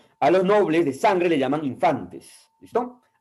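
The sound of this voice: Speaking with lively intonation, a man has a slightly mellow tone.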